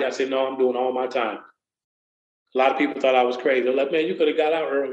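Audible room echo surrounds a man speaking in an American accent. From US Midwest, Waukegan, Illinois. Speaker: motivational speaker and community program coordinator. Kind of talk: personal testimony in interview.

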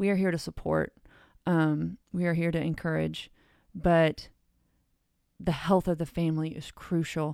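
Recorded very cleanly against a silent background, the voice has an American accent and a dark, mellow tone, moving at a fairly slow pace with monotone, flat intonation and long, frequent pauses. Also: woman, fairly low pitch for a woman. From Cleveland, Ohio, US. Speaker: children's ministry director. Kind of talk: casual interview.

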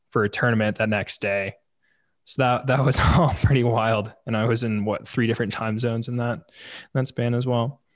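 A man's medium-pitched, normal speaking voice at a moderate pace against a quiet background. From St. Louis, Missouri. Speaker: podcast host. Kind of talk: casual chat.

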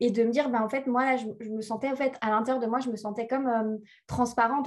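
Talking very fast, a woman keeps her high-pitched voice monotone and flat. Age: 30s. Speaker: spiritual life coach. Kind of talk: interview.

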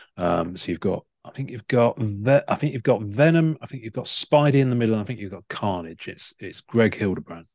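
Lively intonation and big swings in loudness mark this fairly quick speech in a British accent. The sound is dry and close, with no echo. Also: man, medium pitch for a man. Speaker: podcast host. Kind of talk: casual chat.

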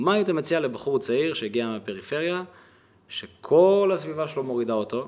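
Here is a man with an unremarkable speaking voice and a fairly high pitch. He talks at a moderate pace with lively intonation. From Israel, Kiryat Malachi. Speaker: podcast host. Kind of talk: interview.

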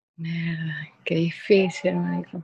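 The speaker is a woman. There is some breathiness to her voice. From Venezuela, Maracaibo. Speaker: DJ. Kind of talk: casual chat.

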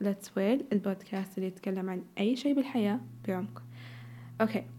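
Music plays behind a woman speaking at a moderate pace. Her medium-pitched voice has lively intonation. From Saudi Arabia. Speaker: podcast host. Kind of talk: casual solo monologue, chatty podcast. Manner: casual, chatty, code-switching with English.

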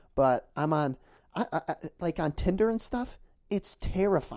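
With a dark, mellow tone and an American accent, a man speaks at a very slow pace with lively intonation, in a very clean recording with a silent background. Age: 20s. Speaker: podcast host and high school football coach. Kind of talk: casual solo monologue. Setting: home basement recording. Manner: halting, many fillers; not loud.

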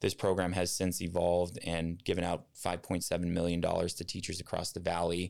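A man speaks at a moderate pace with hardly any pauses, his pitch very deep and low and his intonation flat and monotone, on a very clean recording with a silent background. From Tucson, Arizona. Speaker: sports marketing executive. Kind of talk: interview.

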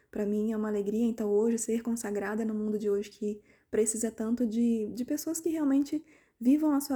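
A woman's fairly high voice, dark and mellow in tone, with fairly even intonation at a fairly quick pace. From Volta Redonda, Rio de Janeiro state, Brazil. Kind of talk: personal testimony.

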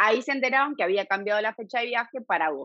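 This woman has a fairly high pitch, lively intonation and a normal speaking voice. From Argentina, Buenos Aires (Devoto). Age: 30s. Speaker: emigrant interviewee. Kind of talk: casual interview chat. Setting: remote call.

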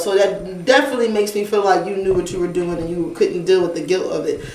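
A woman talks at a fairly quick pace. The room echo is audible and the background noise noticeable. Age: 20s. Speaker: podcast co-host. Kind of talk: casual chat.

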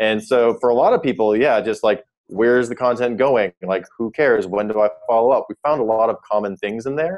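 A man speaks at a moderate pace with an American accent. His pitch is medium, with ordinary variation. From US Midwest (South Dakota). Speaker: startup founder and CEO. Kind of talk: interview. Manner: hesitant with fillers.

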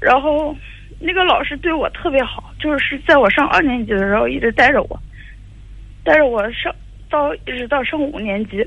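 A woman talks at a moderate pace in a high voice with lively intonation. She takes long, frequent pauses, and noticeable background noise runs underneath. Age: 20s. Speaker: caller. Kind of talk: phone call-in advice. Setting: phone call. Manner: halting.

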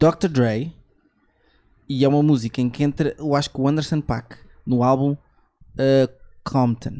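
A man with a dark, mellow tone and fairly high pitch talks at a fairly slow pace. His intonation stays fairly even, broken by long, frequent pauses. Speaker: podcast host. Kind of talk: casual chat.

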